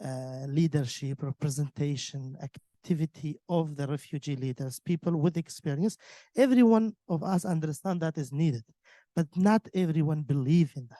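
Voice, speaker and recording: The man's voice has a dark, mellow tone and big swings in loudness. The sound is dry and close with no echo. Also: fairly high pitch for a man, ordinary pitch variation, moderate pace, quiet background. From Iraq, Yazidi community. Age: 20s. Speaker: refugee leader, panelist. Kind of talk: panel discussion. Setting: conference room with audience.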